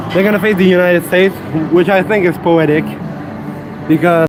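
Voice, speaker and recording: Music plays in the background as a man talks in a high voice. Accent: Quebec. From Quebec City, Canada. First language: French. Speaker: fitness livestreamer. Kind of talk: casual live-stream chat during workout. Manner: loud; halting, repeats words.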